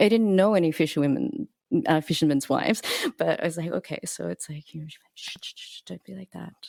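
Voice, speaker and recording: A woman speaks quietly and very fast, her loudness swinging widely, in a dry, close sound with no echo. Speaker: cellist and composer. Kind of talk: casual chat. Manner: quiet speaker.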